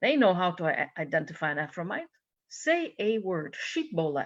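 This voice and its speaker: A woman with a Hungarian accent, medium pitch and moderate pace, against a quiet background. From Hungary. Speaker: minister. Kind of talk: sermon. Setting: church service. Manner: animated storytelling.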